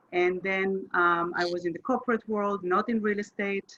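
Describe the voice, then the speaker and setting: Speaking at a fairly slow pace, a woman uses a bright, sharp tone at medium pitch with fairly even intonation. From Chile, later Israel. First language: Spanish. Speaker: real estate agent. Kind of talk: podcast interview. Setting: call.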